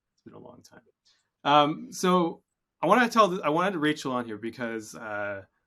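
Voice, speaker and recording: A man with a Canadian accent speaks at a moderate pace in a bright, sharp tone with lively intonation. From Canada. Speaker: podcast host, software company CEO. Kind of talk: interview podcast.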